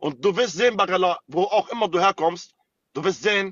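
A man speaks at a high pitch and a moderate pace in an animated tone. The sound is dry with no echo, and the background is quiet. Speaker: TikTok live streamer. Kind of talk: heated live-stream argument. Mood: angry, threatening. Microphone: phone near.

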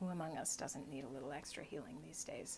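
A woman's voice with ordinary pitch variation, over light background noise. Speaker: video blogger. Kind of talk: poet reading a poem aloud, unhurried and reflective, after casual chat. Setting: video blog, self-recorded. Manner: casual, conversational, halting with fillers. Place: home room. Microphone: phone near.

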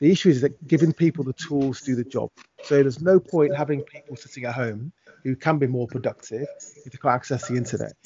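Speaking at a very fast pace, a man sounds somewhat breathy with big swings in loudness and ordinary pitch variation, in a dry sound with no echo over light background noise. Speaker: remote guest. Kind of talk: interview answer. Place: home room. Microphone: video call.

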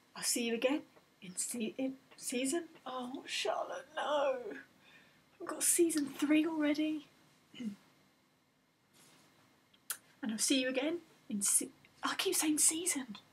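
A woman with a high pitch talks at a fairly slow pace, her loudness swinging widely between long, frequent pauses. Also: ordinary pitch variation. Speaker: video creator. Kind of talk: casual vlog chat. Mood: silly, playful, awkward. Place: home room. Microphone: webcam.

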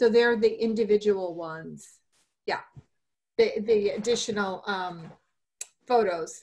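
A plain, everyday voice moves at a fairly slow pace with fairly even intonation. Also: woman, fairly high pitch for a woman. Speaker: commission member. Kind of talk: public meeting. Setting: video call. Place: home room. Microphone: video call.

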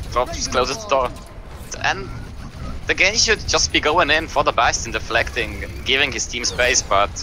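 A man speaks at a moderate pace in a medium pitch, with very wide swings in his pitch. He leaves long, frequent pauses while music plays in the background. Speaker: esports shoutcaster, co-caster. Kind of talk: live commentary of a game. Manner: casual, conversational.

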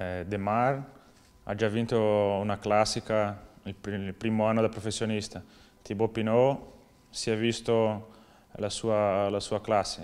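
A man with a Portuguese accent, fairly low in pitch, very slow, with long, frequent pauses and monotone, flat intonation. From southern Brazil. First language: Portuguese (speaking Italian). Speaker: professional cyclist. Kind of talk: interview. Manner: halting. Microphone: lapel.

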